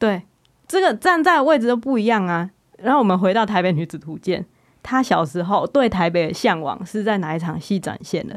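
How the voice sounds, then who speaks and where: A woman's medium-pitched voice at a fairly quick pace, with lively intonation. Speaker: podcast host and screenwriter. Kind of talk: casual chat. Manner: animated.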